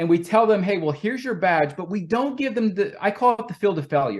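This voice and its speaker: The intonation is lively. The delivery moves at a moderate pace. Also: man. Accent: American. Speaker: soccer referee advocate. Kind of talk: podcast interview. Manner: loud; animated, repetitive stammering.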